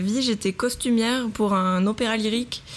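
Fairly even intonation in a plain, everyday voice. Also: woman. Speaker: design student and textile designer. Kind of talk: casual interview. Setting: hot apartment, podcast recorded at home.

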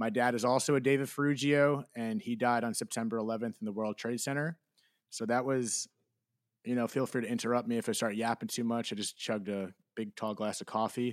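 In an ordinary speaking voice, a man with an American accent talks at a medium pitch and fairly quick pace with fairly even intonation, dry and close with no echo, on a very clean recording with a silent background. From New Jersey. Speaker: podcast host. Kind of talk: interview guest, personal testimony.

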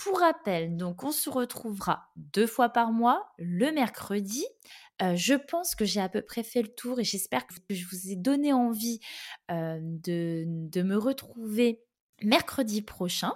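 A woman speaks at a very slow pace in a fairly high voice, her pitch swinging very widely. Her loudness swings a lot too, against a silent background in a very clean recording. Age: 30s. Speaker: podcast host. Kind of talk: solo monologue. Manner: talkative; hesitant, many fillers.

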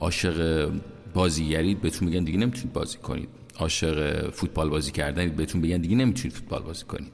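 A man speaks at a very fast pace. His pitch is very deep and low, with ordinary variation. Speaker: podcast host. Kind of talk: personal monologue.

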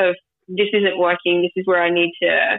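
Speaking with an Australian accent, a woman keeps a moderate pace, a medium pitch and fairly even intonation. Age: 30s. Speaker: grief podcast guest. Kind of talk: casual interview, personal story.

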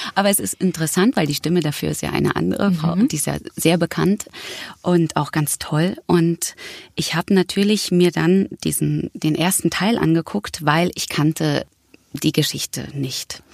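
A woman's normal speaking voice, fairly low in pitch with ordinary pitch variation, in a dry, close sound with no echo. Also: moderate pace. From Berlin, Germany. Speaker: actress and voice actor. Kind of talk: casual interview.

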